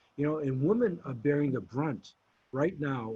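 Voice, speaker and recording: Somewhat breathy, a man's fairly high voice moves with ordinary pitch variation. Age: 70s. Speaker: mayoral candidate. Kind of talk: political forum answers. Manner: halting, self-correcting.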